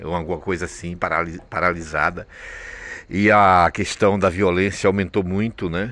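A man speaks with a very deep, low pitch and a bright, sharp tone, his intonation fairly even and the sound dry with no echo. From Brazil. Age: 50s. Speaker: vlogger; traveller vlogger. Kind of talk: casual vlog monologue. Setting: train station. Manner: halting, repetitive. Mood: worried, complaining. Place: station. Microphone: phone near.

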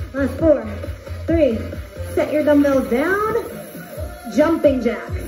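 A woman's high-pitched voice over clear music in the background. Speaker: fitness instructor. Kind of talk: workout cueing. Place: home room. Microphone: camera far.

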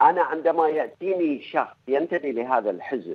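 A man talks with a fairly high pitch. Behind him, the background is quiet. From Bahrain. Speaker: journalist. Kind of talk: radio panel debate. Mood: serious, argumentative. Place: studio.

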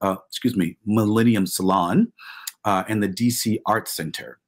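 Against a quiet background, a man with a fairly low pitch speaks at a moderate pace with fairly even intonation. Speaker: professor and panel moderator; professor, panel moderator. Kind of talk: panel moderation. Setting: video call. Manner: hesitant, many filler words. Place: home room. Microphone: webcam.

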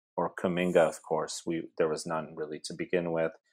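In a Californian accent, a man speaks on a very clean recording with a silent background. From US, South Bay (California). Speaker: university professor. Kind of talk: casual chat.

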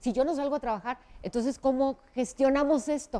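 A woman speaks at a very fast pace. Her tone is dark and mellow. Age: 40s. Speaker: TV news presenter. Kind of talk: interview.

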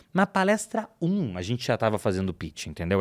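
In a quiet background, a man's voice swings very widely in pitch. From Brazil. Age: 20s. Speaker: digital marketing expert; podcast guest. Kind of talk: casual chat. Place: studio. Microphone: studio mic.

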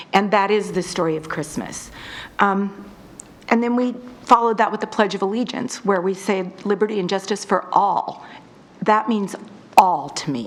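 At a fairly slow pace, a woman speaks at medium pitch with ordinary pitch variation over noticeable background noise. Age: 50s. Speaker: resident speaking at public comment. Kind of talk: public comment at city council meeting. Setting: city council meeting. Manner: halting, many fillers.

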